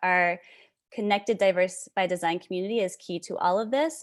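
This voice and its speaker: Talking at a fairly quick pace, a woman uses an ordinary speaking voice with a medium pitch and ordinary pitch variation, on a very clean recording with a silent background. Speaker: charter school founder presenting. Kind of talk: presentation.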